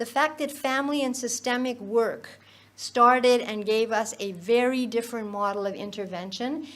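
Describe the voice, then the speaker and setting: Woman's fairly high voice at a moderate pace, ordinary pitch variation, audible room echo. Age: 70s. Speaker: professor of child psychiatry. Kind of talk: conference lecture. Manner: halting, many fillers and restarts.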